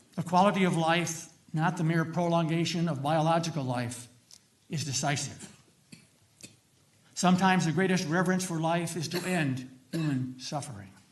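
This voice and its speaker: A man with a high pitch, ordinary pitch variation and a moderate pace, long, frequent pauses, and audible room echo. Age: 80s+. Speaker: retired minister. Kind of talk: legislative testimony. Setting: committee hearing.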